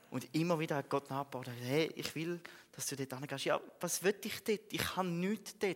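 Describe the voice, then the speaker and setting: The man has a high pitch. His pitch variation is ordinary. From Switzerland, Frauenfeld (Thurgau). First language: Swiss German (speaking German). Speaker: theology student and lay preacher. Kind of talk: sermon. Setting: church.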